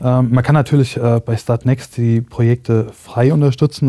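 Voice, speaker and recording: A dark, mellow, somewhat breathy tone at a moderate pace, with fairly even intonation and a dry, close sound with no echo. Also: man. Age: 30s. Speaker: startup founder. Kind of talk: interview. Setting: studio.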